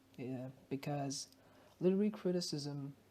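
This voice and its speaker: Very deep, low voice of a woman with a non-native accent, dark and mellow in tone, fairly slow, with ordinary pitch variation. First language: not English. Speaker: ESL student sharing study notes. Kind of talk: study talk with reading aloud. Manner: casual, some hesitations.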